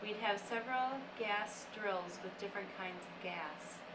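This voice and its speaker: A woman's medium-pitched voice, with fairly even intonation, comes through noticeable background noise. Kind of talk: reading a letter aloud.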